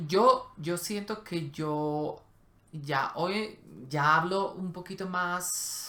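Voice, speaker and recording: A woman with a non-native accent speaks very slowly in a bright, sharp tone. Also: fairly low pitch for a woman, ordinary pitch variation. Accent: foreign accent in Spanish. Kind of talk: casual conversation.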